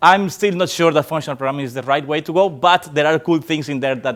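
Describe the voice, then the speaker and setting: Spoken with a Spanish accent, the voice carries ordinary pitch variation. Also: man. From Colombia. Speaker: software developer. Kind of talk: tech talk. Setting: stage with audience. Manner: hesitant, many fillers.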